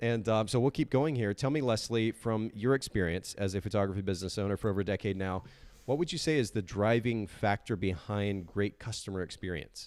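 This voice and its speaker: The man's pitch is fairly low, with ordinary variation. He talks at a fairly quick pace. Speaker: podcast host. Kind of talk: interview podcast. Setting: live stream video. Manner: fast.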